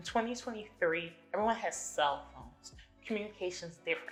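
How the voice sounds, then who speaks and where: Fairly quick talking from a woman, music playing behind her. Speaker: podcast host. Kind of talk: casual monologue. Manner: fast.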